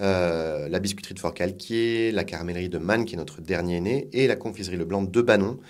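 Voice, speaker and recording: Over audible room echo, a man talks at a fairly quick pace in a very deep, low pitch with ordinary pitch variation. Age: 40s. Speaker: food industry executive. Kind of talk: interview.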